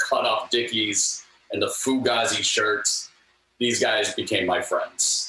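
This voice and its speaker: A man is speaking. He has an American accent. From US West, Sacramento. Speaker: music video director and author. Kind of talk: interview storytelling.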